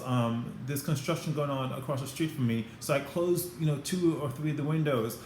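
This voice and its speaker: With a Caribbean accent, the speaker uses ordinary pitch variation, and audible room echo surrounds the voice. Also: man. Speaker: former flight attendant, career advice vlogger. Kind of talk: advice vlog to camera. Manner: fast; animated.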